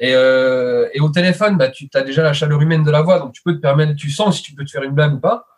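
A man talks at a very fast pace in a fairly high pitch with ordinary pitch variation. His voice is somewhat breathy, with big swings in loudness. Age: 30s. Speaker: web services entrepreneur. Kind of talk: casual interview. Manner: hesitant, many fillers.

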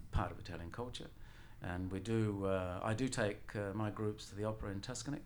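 This man talks at a fairly quick pace with fairly even intonation and a fairly low pitch. Audible room echo surrounds his voice. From Sicily, Italy, raised partly in Australia. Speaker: tour guide and former Italian lecturer. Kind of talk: interview.

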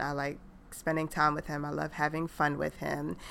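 A woman speaks with an American accent. The recording is very clean, and the background is silent. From New York. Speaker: podcast co-host, mother. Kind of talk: casual chat.

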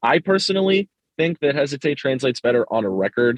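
A man with an ordinary speaking voice talks at a fairly quick pace with lively intonation. The sound is dry and close, with no echo. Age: 20s. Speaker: hardcore band vocalist. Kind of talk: casual chat.

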